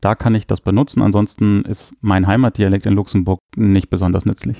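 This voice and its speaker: Over a quiet background, a man talks at a fairly quick pace in a fairly low pitch. His tone is dark and mellow, and the sound is dry and close with no echo. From northern Germany. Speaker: linguistics professor. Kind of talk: interview.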